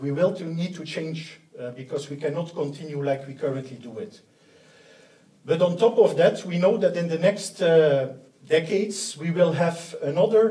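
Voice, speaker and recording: At a moderate pace, a man with a high pitch and ordinary pitch variation speaks with big swings in loudness and audible room echo. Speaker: conference presenter. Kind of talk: lecture. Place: hall.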